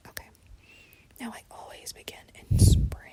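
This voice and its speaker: Someone whispers at a fairly slow pace in an American accent. Noticeable background noise runs underneath. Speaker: gaming ASMR creator. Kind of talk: ASMR gameplay commentary. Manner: soft-spoken.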